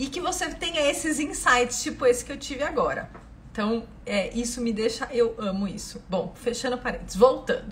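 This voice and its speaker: A woman speaks at a moderate pace in a high, animated voice with lively intonation. Audible room echo and noticeable background noise surround her. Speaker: physiotherapist. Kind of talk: live stream Q&A lecture. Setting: live stream.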